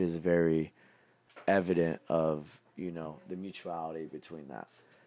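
With a Californian accent, a man speaks in a very deep, low pitch and a dark, mellow tone on a very clean recording with a silent background. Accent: Californian American. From California, Modesto. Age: 20s. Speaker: fashion designer. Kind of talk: casual chat.

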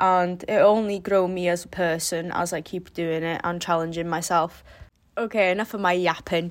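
A woman with a North Welsh accent speaks in a fairly low pitch with fairly even intonation. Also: moderate pace, very clean recording, silent background. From North Wales. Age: 20s. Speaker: podcast host, university student. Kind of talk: casual monologue. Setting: bedroom den. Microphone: recorded before new microphone arrived.

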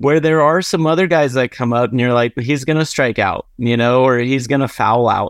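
A man speaks in an unremarkable speaking voice at a medium pitch with ordinary pitch variation. The quiet recording has a dry, close sound with no echo. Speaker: podcast co-host. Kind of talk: sports podcast discussion.

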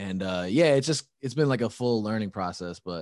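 A man with an American accent speaks at a moderate pace in an unremarkable speaking voice, his fairly low pitch moving in lively intonation over a quiet background. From Chicago. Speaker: musician and podcaster. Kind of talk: casual chat. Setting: video call.

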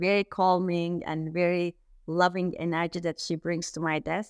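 Speaking in a Turkish accent, a woman uses a fairly low pitch and a monotone, flat intonation at a moderate pace, in a dry, close sound with no echo. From Turkey. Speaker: conflict resolution coach. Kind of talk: interview. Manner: hesitant, many fillers.

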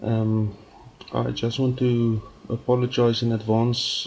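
A man with an Afrikaans accent talks very slowly in a monotone, flat delivery amid noticeable background noise. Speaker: music project creator. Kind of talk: recorded submission message. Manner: halting, many fillers.

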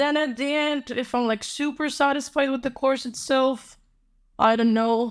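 A woman's high voice in a Polish accent, at a fairly slow pace, in a very clean recording with a silent background. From Poland, Warsaw. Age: 20s. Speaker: university graduate. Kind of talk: casual chat.

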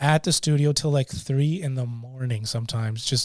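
With a Canadian accent, a man talks at a moderate pace and medium pitch, using fairly even intonation. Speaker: podcast host and DJ. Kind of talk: casual chat.

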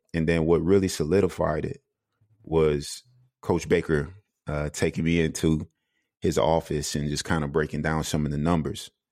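Monotone and flat, a man with an American accent speaks at a moderate pace in a very deep, low pitch, recorded very cleanly over a silent background. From South Carolina. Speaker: former pro basketball player and coach. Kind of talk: casual interview.

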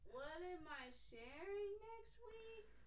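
Over noticeable background noise, a woman does a squeaky put-on character voice at an extremely high pitch. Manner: unsure, hesitant, unconfident.

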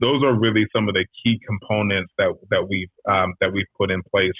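A man's fairly low voice at a moderate pace, with an American accent. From Washington DC. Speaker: healthcare operations executive. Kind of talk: interview.

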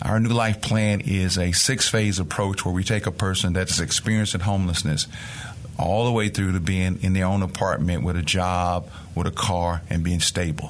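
Speaking with a Mississippi accent, a man has a very deep, low pitch. His loudness stays very even, his intonation fairly even, and his pace moderate. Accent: Southern US (Mississippi). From rural Mississippi, US South. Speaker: nonprofit executive. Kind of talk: interview.

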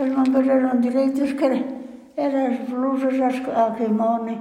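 The speech comes at a very slow pace in a monotone, flat intonation. Audible room echo surrounds it. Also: woman. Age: 80s+. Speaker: centenarian interviewee. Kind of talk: life-story interview. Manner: halting.

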